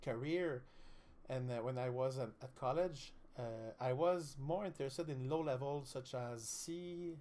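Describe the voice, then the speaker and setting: A man speaks with a Quebec accent. His pitch is fairly high and his intonation fairly even. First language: French. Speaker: streamer, student. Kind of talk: live-stream tutorial. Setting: live stream. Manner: halting, many fillers.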